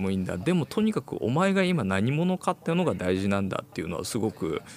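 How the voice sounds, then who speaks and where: This man's pitch swings very widely. He talks fairly quickly. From Japan. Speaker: music producer, LA correspondent. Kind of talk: casual chat over remote link. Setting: remote connection from LA.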